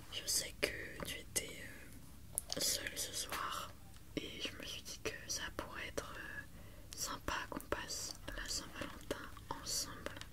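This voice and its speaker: Noticeable background noise fills the clip. Through it, a woman whispers very slowly. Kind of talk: ASMR roleplay. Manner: whispered, soft-spoken.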